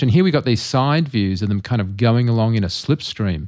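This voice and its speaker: A man talks with an Australian accent at a medium pitch. His pace is fairly quick. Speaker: podcast host. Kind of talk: casual chat about film visual effects.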